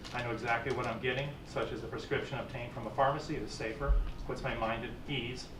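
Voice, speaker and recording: Background noise is clearly noticeable, along with audible echo from the room. Over it, a man talks very fast. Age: 60s. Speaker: medical marijuana patient testifying. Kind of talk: public testimony. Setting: legislative committee hearing. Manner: formal.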